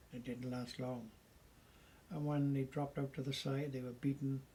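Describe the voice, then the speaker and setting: A man's somewhat breathy, dark, mellow voice at medium pitch, with monotone, flat intonation. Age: 80s+. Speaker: war veteran. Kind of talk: testimony.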